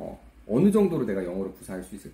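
With a dark, mellow tone and a somewhat breathy quality, a man's voice makes very wide pitch swings. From South Korea. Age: 20s. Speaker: YouTuber. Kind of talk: monologue vlog. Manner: halting.

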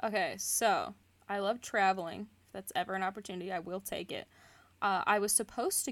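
A woman's medium-pitched, normal speaking voice at a moderate pace with ordinary pitch variation, in a very clean recording with a silent background. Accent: American. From US Midwest. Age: 20s. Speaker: podcast co-host, zoo life support worker. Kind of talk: casual chat.

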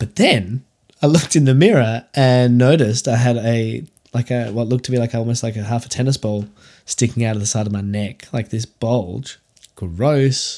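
The voice has an Australian accent and a dark, mellow tone. Its pitch varies in an ordinary way. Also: man, medium pitch for a man, moderate pace. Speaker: podcast host and success coach. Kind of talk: solo podcast monologue. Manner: casual, filler-heavy.

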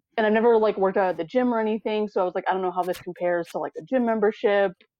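Pitch varies in an ordinary way. The voice comes with an American accent. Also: woman. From US Arizona. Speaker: interviewee, fitness enthusiast. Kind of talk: casual interview chat.

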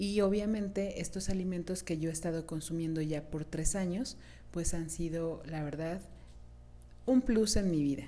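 Audible room echo surrounds a woman speaking at a fairly slow pace. Her dark, mellow tone sits at a fairly low pitch with ordinary pitch variation. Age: 30s. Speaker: beauty podcast host. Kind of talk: solo podcast talk.

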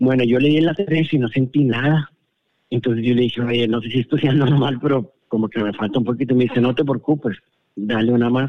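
A medium-pitched man speaks at a fairly quick pace with fairly even intonation. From Monterrey, northern Mexico. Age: 40s. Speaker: guest sharing personal experience. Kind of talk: personal testimony. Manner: halting.

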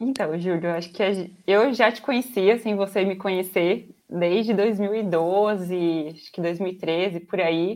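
This is a woman with a medium-pitched voice. The background is quiet. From interior of São Paulo state, Brazil. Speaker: software quality analyst. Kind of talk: casual interview.

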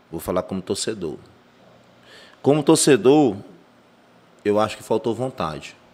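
At a moderate pace, a man with a medium-pitched voice speaks with very wide pitch swings and long, frequent pauses. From Brazil, Ceará (Fortaleza / Maracanaú). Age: 30s. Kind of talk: casual chat.

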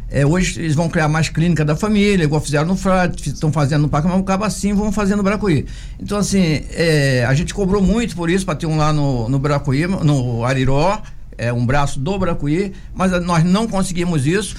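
With a high pitch, ordinary pitch variation and very even loudness, a man talks at a moderate pace over audible room echo. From Brazil, Angra dos Reis coast (Rio de Janeiro state). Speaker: city councillor. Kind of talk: radio interview.

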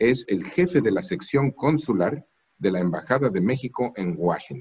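This man talks at a moderate pace in a medium pitch. His pitch swings very widely. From Mexico. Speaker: diplomat. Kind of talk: interview. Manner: formal.

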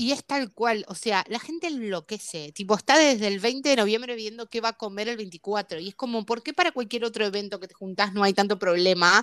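A woman with a Rioplatense accent, fairly high in pitch, at a fairly quick pace with hardly any pauses, ordinary pitch variation, and a dry, close sound with no echo. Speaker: podcast co-host. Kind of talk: casual chat.

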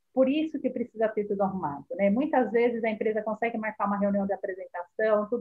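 A somewhat breathy woman at a fairly high pitch and very fast pace. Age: 40s. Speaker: marketing specialist. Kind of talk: casual chat. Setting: live stream.

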